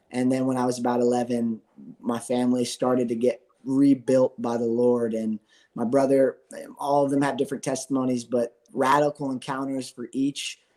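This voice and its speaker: A man with an American accent talks at a moderate pace in a dark, mellow tone of medium pitch. His intonation is monotone and flat, and the sound is dry and close with no echo. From US Northeast, Philadelphia area. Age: 20s. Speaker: worship musician. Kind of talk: interview testimony. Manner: halting, many fillers.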